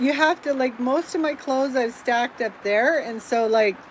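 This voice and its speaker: A loud, high-pitched woman's voice with ordinary pitch variation over noticeable background noise. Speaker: vlogger and realtor. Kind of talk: casual vlog tour. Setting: inside RV in heavy rain.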